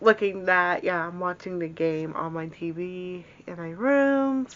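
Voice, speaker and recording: The woman's pitch shows ordinary variation as she talks. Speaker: book vlogger. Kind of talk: casual chat. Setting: home, in bedroom. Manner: halting, many fillers.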